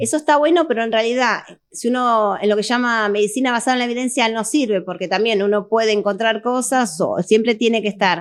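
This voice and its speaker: Talking fairly quickly with hardly any pauses, a woman uses a fairly high pitch and ordinary pitch variation over a quiet background. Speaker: doctor. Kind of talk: interview. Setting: studio. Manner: fast.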